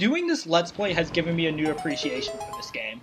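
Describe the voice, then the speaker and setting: The man's high voice moves at a fairly brisk clip, with lively intonation. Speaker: let's play gaming youtuber. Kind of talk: gameplay commentary. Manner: stutters over words.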